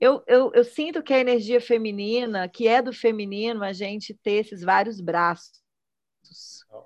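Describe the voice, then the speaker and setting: Against a quiet background, a woman talks in an unremarkable speaking voice at a fairly high pitch with ordinary pitch variation. She goes at a fairly slow pace, and her loudness swings widely. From Minas Gerais, Brazil (Belo Horizonte). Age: 40s. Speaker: choreographer and singer-songwriter. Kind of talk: casual chat.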